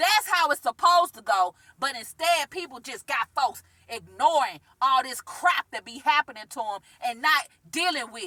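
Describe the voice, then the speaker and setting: The voice is animated, raised and projected, moving at a moderate pace with very wide pitch swings in a dry, close sound with no echo. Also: woman. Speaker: spiritual self-help vlogger. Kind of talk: vlog monologue. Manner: loud.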